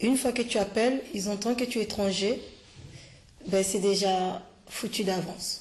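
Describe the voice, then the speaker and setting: A woman at a medium pitch speaks at a moderate pace with fairly even intonation and very even loudness, leaving long, frequent pauses over noticeable background noise. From Ivory Coast. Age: 30s. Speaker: language learner. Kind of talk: interview. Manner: halting.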